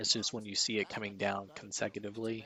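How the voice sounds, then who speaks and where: A man speaks quietly at a moderate pace and a fairly low pitch. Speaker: stock market streamer. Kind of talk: live market commentary.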